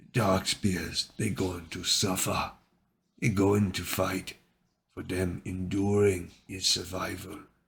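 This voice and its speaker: Putting on a character voice, a man rumbles in a very deep, low pitch with a solemn tone at a fairly slow pace, on a very clean recording with a silent background. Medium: read story. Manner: rumbling, solemn.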